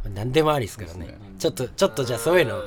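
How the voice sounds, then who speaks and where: A man talks very fast with lively intonation, his voice somewhat breathy. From Tohoku, Japan. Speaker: radio host. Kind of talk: casual chat. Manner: animated.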